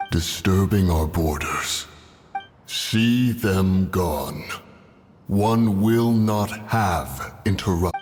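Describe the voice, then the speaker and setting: A man uses a put-on character voice with a fairly low pitch. He speaks at a very slow pace. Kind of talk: archaic, formal speech. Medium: video game. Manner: stately, aloof.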